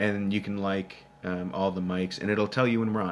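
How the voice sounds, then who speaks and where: A man talks with a Minnesotan accent at a fairly low pitch. His pace is moderate and his intonation fairly even. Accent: Minnesota. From Minnesota, US Upper Midwest. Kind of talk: live Q&A stream reading chat. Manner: casual, many filler words.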